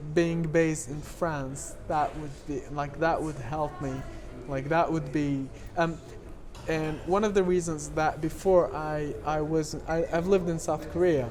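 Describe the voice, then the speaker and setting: The speaker talks at a fairly slow pace in a French accent. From Lebanon. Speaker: documentary filmmaker. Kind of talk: interview. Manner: halting.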